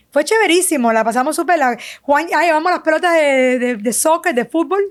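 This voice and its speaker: A woman talks at a high pitch and fairly quick pace. Her loudness stays very even. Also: lively intonation. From Cuba, Havana. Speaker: sonographer and business owner. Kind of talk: testimony interview.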